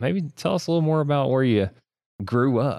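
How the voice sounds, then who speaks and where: A man is speaking. He has a strong Southern US accent. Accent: heavy Southern US. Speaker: co-host, producer and editor, husband of host. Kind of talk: casual conversational podcast.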